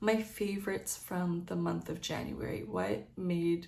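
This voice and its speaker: Amid audible room echo, a woman speaks very slowly. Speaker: lifestyle vlogger. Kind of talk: casual vlog monologue. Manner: hesitant, many fillers.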